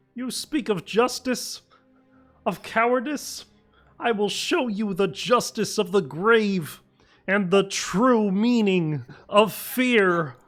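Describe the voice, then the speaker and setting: A female-sounding put-on character voice at a medium pitch speaks at a very slow pace over faint background music. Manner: menacing, grave, ominous.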